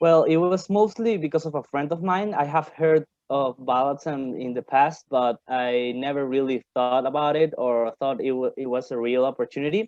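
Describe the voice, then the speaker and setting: With hardly any pauses, a man speaks at a moderate pace and fairly high pitch, using ordinary pitch variation. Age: 20s. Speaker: virtual assistant. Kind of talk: interview. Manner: halting.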